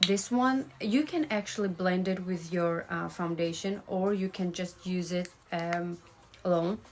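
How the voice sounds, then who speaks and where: A woman speaks at a fairly slow pace over noticeable background noise. Her pitch is medium, with ordinary variation. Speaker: makeup artist. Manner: casual, halting with fillers.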